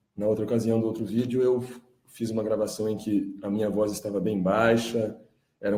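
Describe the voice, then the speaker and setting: In a room with audible echo, a man speaks at a moderate pace with a dark, mellow tone, fairly low pitch and monotone, flat intonation. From Brazil. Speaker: independent journalist and music producer. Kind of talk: live stream monologue. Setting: live stream.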